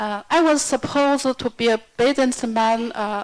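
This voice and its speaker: The speaker has a Chinese accent and talks at a fairly slow pace. Pitch variation is ordinary. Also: woman. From China. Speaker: yoga teacher. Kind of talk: self-introduction at workshop.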